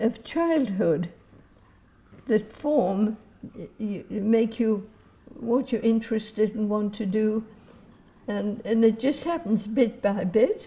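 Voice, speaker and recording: Speaking with an English accent, a woman uses a fairly high pitch and a dark, mellow tone. Her voice is somewhat breathy and her pace very slow. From England. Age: 80s+. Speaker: retired social worker. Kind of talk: interview answer.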